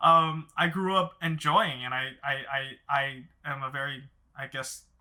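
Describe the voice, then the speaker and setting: A man with a Mandarin accent speaks at a fairly slow pace in a fairly high voice, his intonation fairly even. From Los Angeles, US. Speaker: therapist, podcast co-host. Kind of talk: casual panel discussion. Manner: halting, many repeated words.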